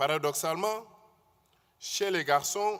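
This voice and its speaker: The tone is bright and sharp, in a Senegalese accent. Delivery runs at a fairly slow pace. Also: man. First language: Wolof (speaking French). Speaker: conference speaker. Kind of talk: conference talk.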